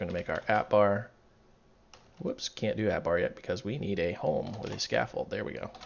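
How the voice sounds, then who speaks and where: A man's fairly low voice at a fairly quick pace, with noticeable background noise. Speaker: coding tutorial creator. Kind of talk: tutorial. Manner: casual, chatty.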